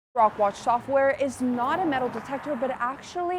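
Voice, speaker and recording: A woman talks at a very fast pace. Noticeable background noise is audible. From Maryland, USA. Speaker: TV news reporter. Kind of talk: standup and live shot delivery.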